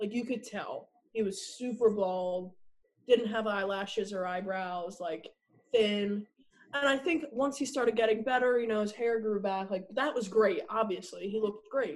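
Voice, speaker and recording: Ordinary pitch variation and a moderate tempo in a normal speaking voice, in an American accent. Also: woman, fairly high pitch for a woman. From New Jersey, US. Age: 20s. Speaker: university student, patient's sister. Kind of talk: casual interview.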